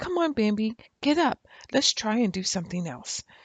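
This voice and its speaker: A put-on character voice, female-sounding and fairly high in pitch, at a moderate pace. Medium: read story. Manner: lively, chatty.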